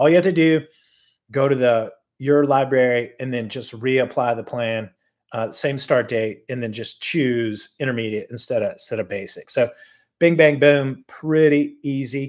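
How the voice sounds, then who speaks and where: With ordinary pitch variation and a moderate pace, he talks while the background stays quiet. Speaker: cycling coach. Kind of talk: tutorial. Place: home room. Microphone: webcam.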